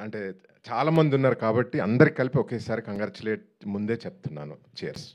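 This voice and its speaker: A man speaks in a medium pitch with vocal fry and lively intonation. His loudness swings widely. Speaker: film producer. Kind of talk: speech at a film trailer launch event. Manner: calm.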